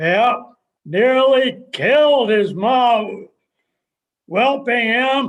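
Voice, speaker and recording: In a put-on character voice, a man speaks at an extremely high pitch. His pace is very slow, with long, frequent pauses. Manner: curt, terse, deadpan.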